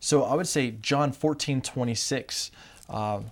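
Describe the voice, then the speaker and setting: Ordinary pitch variation from a man with an American accent. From California. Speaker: theology student. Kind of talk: group Bible study discussion.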